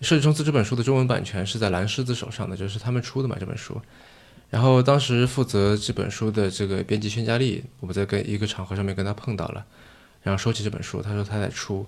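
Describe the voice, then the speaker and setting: Pitched fairly low, a man speaks at a very fast pace. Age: young. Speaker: venture capitalist and podcast host. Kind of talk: casual interview conversation. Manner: deadpan.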